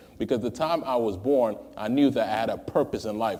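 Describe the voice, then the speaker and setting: With an American accent, a man uses a normal speaking voice at medium pitch, moderate pace and lively intonation. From New York City, Ghanaian family. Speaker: interview guest, lawyer. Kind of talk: interview. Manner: formal.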